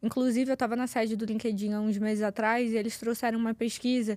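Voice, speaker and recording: Female speech captured on a very clean recording, the background silent. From Rio de Janeiro, Brazil. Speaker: communication and public speaking coach. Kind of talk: podcast interview.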